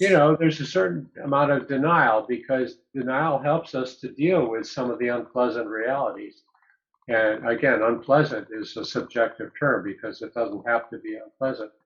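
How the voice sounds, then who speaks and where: A man with a normal speaking voice talks at a medium pitch and a moderate pace, with ordinary pitch variation. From upstate New York. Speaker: psychologist. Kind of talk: interview.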